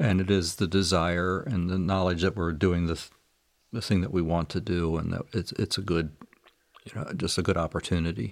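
This man's very deep, low voice moves at a moderate pace with fairly even intonation. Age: 60s. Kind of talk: interview.

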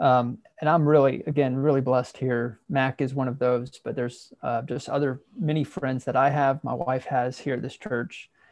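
With an American accent and an ordinary speaking voice, a man of medium pitch talks with fairly even intonation and hardly any pauses. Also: moderate pace. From US Midwest, southeast Ohio. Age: 30s. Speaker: minister. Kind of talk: casual interview.

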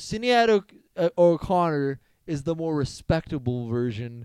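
Using a robotic, put-on character voice, a man speaks at a fairly high pitch and a fairly slow pace, with very wide pitch swings. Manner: robotic, like a voice assistant.

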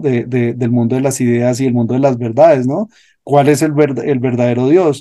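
The man's tone is dark and mellow. His pitch is medium, with ordinary variation. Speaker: yoga and meditation teacher. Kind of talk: interview.

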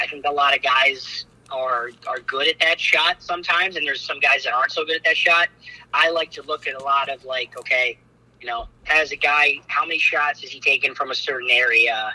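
Fairly quick speech with noticeable background noise. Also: man, dry, close sound with no echo. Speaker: college basketball head coach. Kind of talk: interview.

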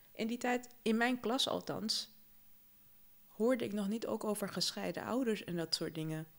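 A woman's fairly high voice at a moderate pace with ordinary pitch variation. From Suriname. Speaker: podcast co-host. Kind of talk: casual chat.

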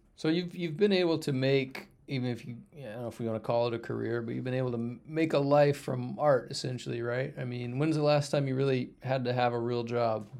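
With noticeable noise in the background, a man talks using ordinary pitch variation. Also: medium pitch for a man, fairly quick pace, hardly any pauses. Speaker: podcast host. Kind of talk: casual chat.

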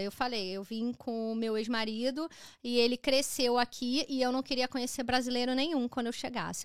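Very clean and silent in the background, the recording has a dry, close sound with no echo. A woman with a high pitch speaks at a fairly quick pace. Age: 30s. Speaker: digital marketing expert and designer. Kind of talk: casual chat. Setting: live stream.

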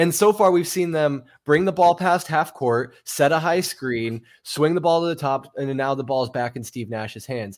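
A man with an ordinary speaking voice, fairly high in pitch with ordinary pitch variation, talks at a moderate pace with hardly any pauses in a very clean recording with a silent background. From Arizona. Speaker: basketball podcast co-host. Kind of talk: casual chat.

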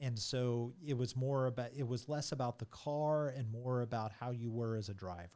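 A man's medium-pitched voice with an American accent and a dark, mellow tone. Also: ordinary pitch variation, moderate pace. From US Midwest (rural Missouri). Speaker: IT executive and racing driving instructor. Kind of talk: interview. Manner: halting, many fillers.

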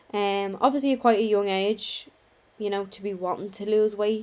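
With a Dublin accent, a woman speaks at medium pitch with fairly even intonation. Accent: Dublin Irish. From Ireland, Dublin. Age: 20s. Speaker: online fitness coach and podcaster. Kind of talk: casual chat. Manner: conversational.

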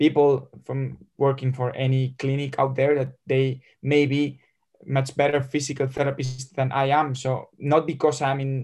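Somewhat breathy and flat in intonation, the speaker talks at a fairly slow pace with a Spanish accent. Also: man. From Spain, Madrid. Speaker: football physical therapist and sports scientist. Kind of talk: interview. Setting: video call. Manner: halting.

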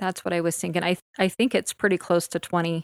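With monotone, flat intonation, a woman speaks at a fairly low pitch in a dry, close sound with no echo on a very clean recording with a silent background. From Utah. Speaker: podcast host. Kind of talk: casual chat. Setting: at home on the couch.

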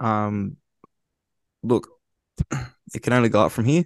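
A man speaks at a slow pace with a fairly low pitch. His pitch varies in an ordinary way.

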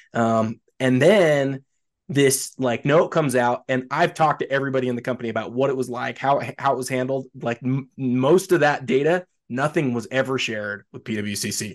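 Here is a man with an unremarkable speaking voice at a medium pitch. He keeps a moderate pace with ordinary pitch variation. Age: 40s. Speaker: sports card collector and industry employee. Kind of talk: casual chat.

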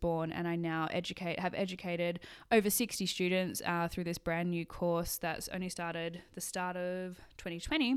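A woman's fairly low voice with an Australian accent, fairly quick and fairly even in intonation. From Australia, Sydney. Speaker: photographer and podcast host. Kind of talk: solo monologue, casual podcast. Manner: casual, chatty.

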